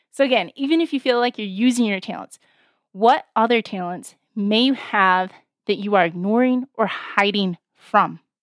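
A woman with a fairly high pitch speaks at a moderate pace with ordinary pitch variation. It is an ordinary speaking voice, with a dry, close sound and no echo. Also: very clean recording, silent background. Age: 40s. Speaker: podcast host and life coach. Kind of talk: motivational faith talk.

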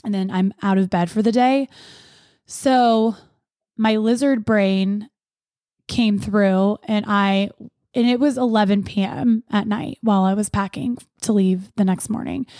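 In a very clean recording with a silent background and a dry, close sound with no echo, a woman speaks at a medium pitch and a fairly slow pace, her dark, mellow tone holding very even loudness and fairly even intonation, with long, frequent pauses. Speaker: podcast host. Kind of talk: casual monologue.

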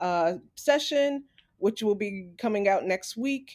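A woman with an American accent talks at a fairly slow pace with lively intonation, in a plain, everyday voice. The recording is very clean, with a silent background. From New York, Staten Island. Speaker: podcast co-host, arts educator. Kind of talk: interview.

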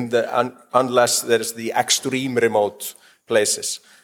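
A man with a medium pitch speaks at a fairly slow pace in a monotone, flat intonation. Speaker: panel moderator. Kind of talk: panel moderation. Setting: stage with audience.

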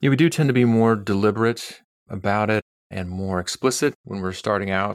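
In a plain, everyday voice, a man speaks at a moderate pace with a medium pitch and ordinary pitch variation. The recording is very clean and dry, close with no echo, over a silent background. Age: 40s. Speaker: clinical psychologist. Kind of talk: casual interview.

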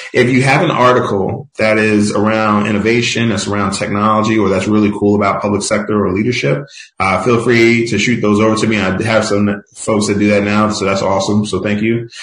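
In an American accent, a man delivers a monotone, flat line at fairly low pitch, keeping very even loudness and hardly any pauses. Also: fairly quick pace. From Philadelphia, US. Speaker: tech industry executive. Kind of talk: podcast interview.

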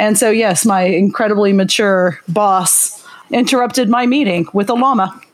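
A woman at medium pitch with an American accent, very even loudness, ordinary pitch variation and a moderate pace, over noticeable background noise. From Oklahoma. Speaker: podcast co-host. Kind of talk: casual chat.

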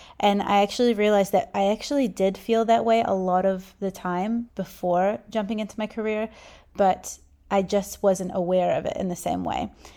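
In a New Zealand accent, a woman of medium pitch with a dark, mellow tone talks at a moderate pace. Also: fairly even intonation. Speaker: podcast host, business owner. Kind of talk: solo podcast monologue. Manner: casual, conversational.

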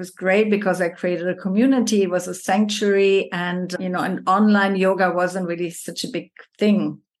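A plain, everyday voice from a woman at medium pitch, moderate pace with hardly any pauses, fairly even intonation and a quiet background. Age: 50s. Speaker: yoga teacher. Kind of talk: casual chat.

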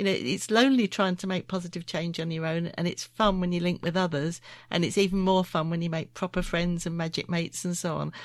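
In a normal speaking voice, a woman with fairly low pitch and fairly even intonation speaks with hardly any pauses. The recording is very clean, with a silent background. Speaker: podcast host. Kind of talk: casual interview chat.

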